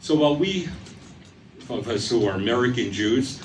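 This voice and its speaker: A man at medium pitch, moderate pace and lively intonation, with audible room echo. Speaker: speaker giving a talk on antisemitism. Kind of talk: public talk. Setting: stage with audience in a theater. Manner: formal.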